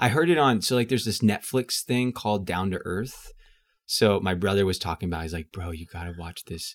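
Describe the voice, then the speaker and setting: A man's plain, everyday voice with an American accent, a fairly quick pace, big swings in loudness, and a dry, close sound with no echo. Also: fairly low pitch for a man, lively intonation, very clean recording, silent background. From US South, Houston, Texas. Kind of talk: casual interview.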